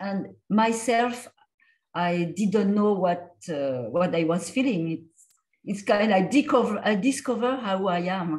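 In a French accent, a woman talks at a very slow pace with a somewhat breathy voice. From France. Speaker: comics artist and lecturer. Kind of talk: lecture with Q&A. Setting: video call. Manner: halting, hesitant. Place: home room. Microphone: video call.

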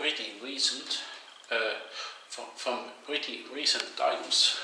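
At a fairly slow pace, a man speaks over light background noise, with audible room echo. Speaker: urban explorer vlogger. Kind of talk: casual vlog narration. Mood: curious, mildly spooked. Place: bathroom. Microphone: phone near.

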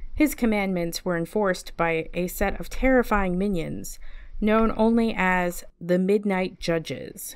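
A normal speaking voice from a woman, medium in pitch, at a fairly slow pace. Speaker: library storyteller reading aloud. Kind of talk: mock documentary narration, deadpan scholarly reading of a fiction story. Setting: online video series.

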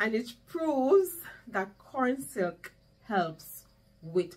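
A woman talks at a very slow pace, her somewhat breathy voice making very wide pitch swings. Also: big swings in loudness. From Jamaica. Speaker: home gardening youtuber. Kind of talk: casual vlog tutorial. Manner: animated. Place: home room. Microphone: camera far.

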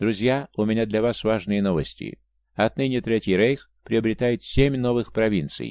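At a moderate pace, a man with a fairly low pitch speaks in a normal speaking voice. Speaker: audiobook narrator. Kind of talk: audiobook reading of a memoir, first-person narration.

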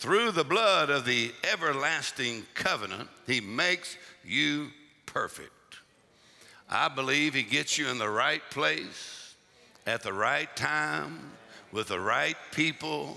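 Very slowly, a man speaks in a bright, sharp tone with vocal fry and lively intonation. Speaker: preacher. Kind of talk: sermon. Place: church. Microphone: headset.

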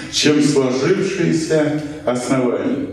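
In strong room echo, a man speaks at a very slow pace. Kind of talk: lecture. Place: shop.

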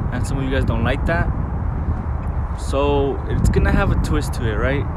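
Loud background noise accompanies a man's speech. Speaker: vlogger. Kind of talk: casual talk to camera. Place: street. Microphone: phone near.

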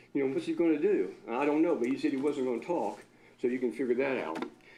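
Male speech carrying audible room echo. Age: 70s. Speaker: accountant and local business owner. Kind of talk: public comment at city council meeting. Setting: city council meeting. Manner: animated.

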